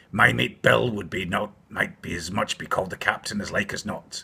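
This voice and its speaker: Using a put-on character voice, a man speaks raspily at a moderate pace and a fairly low pitch. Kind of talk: bedtime story. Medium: read story. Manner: wheedling, leering.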